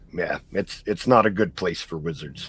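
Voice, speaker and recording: A man's put-on character voice, raspy and very deep in pitch, at a moderate pace with ordinary pitch variation. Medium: actual play. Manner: earnest, cautionary.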